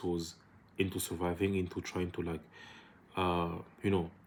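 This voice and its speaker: A man's very deep, low voice with monotone, flat intonation. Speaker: entrepreneur vlogger. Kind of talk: casual vlog monologue. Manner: fast; hesitant, many fillers.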